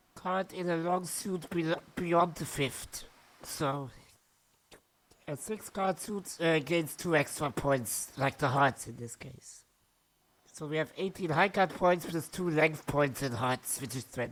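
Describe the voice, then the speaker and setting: Speaking very slowly, a woman uses a fairly low pitch with ordinary pitch variation. She has a non-native accent. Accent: non-native English accent, noticeable. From Germany. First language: German. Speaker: amateur bridge player, video creator. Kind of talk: gameplay commentary. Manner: halting, with false starts.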